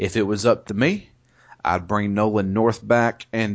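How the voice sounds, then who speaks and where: A man with a Southern US accent and a fairly low pitch. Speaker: podcast host. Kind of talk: casual chat. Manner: animated.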